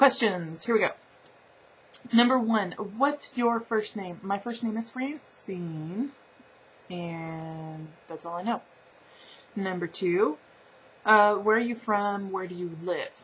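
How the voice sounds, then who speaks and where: A woman's very slow, somewhat breathy voice at a medium pitch, with a slight Southern US accent, ordinary pitch variation, big swings in loudness, and long, frequent pauses. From Southern California. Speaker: vlogger. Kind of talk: casual vlog.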